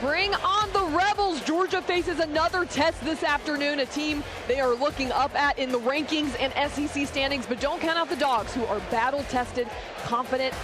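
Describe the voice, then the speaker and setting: A woman speaks at a high pitch and a moderate pace, with ordinary pitch variation and very even loudness. Music can be heard behind her. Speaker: sports director and television host. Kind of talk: live college football and baseball panel host. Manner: lively, conversational.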